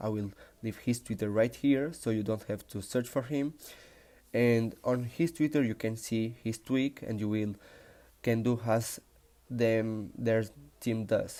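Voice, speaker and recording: At a moderate pace, a man with a Spanish accent speaks in a dark, mellow tone with fairly even intonation. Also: very clean recording, silent background. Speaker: tech tutorial youtuber. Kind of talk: tutorial.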